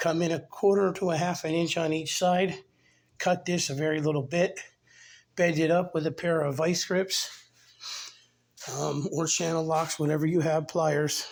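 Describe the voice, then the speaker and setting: In a very clean recording with a silent background, a man speaks with a high pitch and monotone, flat intonation. His pace is moderate, broken by long, frequent pauses. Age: 50s. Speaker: DIY car repair video maker. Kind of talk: tutorial. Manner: casual.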